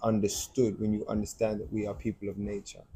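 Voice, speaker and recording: A man with an English accent, fairly low pitch, dark, mellow tone, somewhat breathy delivery, fairly even intonation and fairly quick pace. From England, London. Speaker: debate guest. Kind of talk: casual debate chat. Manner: halting, repeats words.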